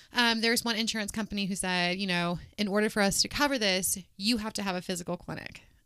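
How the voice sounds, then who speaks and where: At a very fast pace, a woman with a Midwestern American accent speaks in a bright, sharp tone at medium pitch with fairly even intonation on a very clean recording with a silent background. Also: hardly any pauses. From Kansas, Wichita. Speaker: clinic manager. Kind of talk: casual interview.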